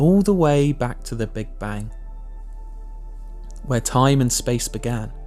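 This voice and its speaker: Over music in the background, a speaker with an English accent talks in a calm tone at a fairly slow pace. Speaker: meditation guide. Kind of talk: guided meditation. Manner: calm, slow.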